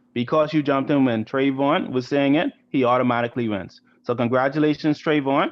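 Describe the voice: The reading aloud is plain. Its intonation holds fairly level.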